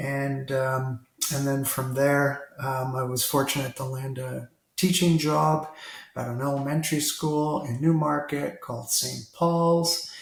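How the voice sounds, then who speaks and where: In a Canadian accent, a man speaks fairly slowly at a fairly high pitch with fairly even intonation, and the room echo is audible. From Toronto, Canada. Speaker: retired school district leader. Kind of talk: interview.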